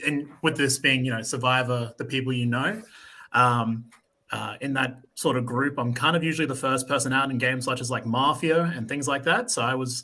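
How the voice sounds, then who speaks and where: This man speaks in an Australian accent with a bright, sharp tone. His intonation is fairly even and his pace moderate. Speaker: reality game contestant. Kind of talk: podcast interview.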